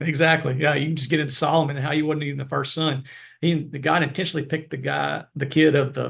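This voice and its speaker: The speaker's voice carries vocal fry at a very fast pace. The intonation is monotone and flat. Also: man, fairly high pitch for a man. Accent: American. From US South (Arkansas). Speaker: veterinarian, professor. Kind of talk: interview podcast.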